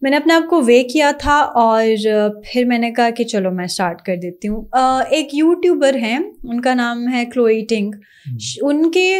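Against a quiet background, a woman with a high voice speaks at a fairly slow pace with lively intonation. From Pakistan, Punjabi family. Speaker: TV co-host and actress; TV co-host, actress. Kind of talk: casual interview. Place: studio. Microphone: studio mic.

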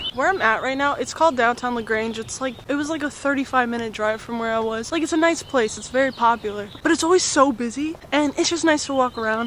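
Over music in the background, a woman talks at a very fast pace with a high pitch and ordinary pitch variation, the sound dry with no echo. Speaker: vlogger. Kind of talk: casual vlog chat. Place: street. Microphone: phone near.

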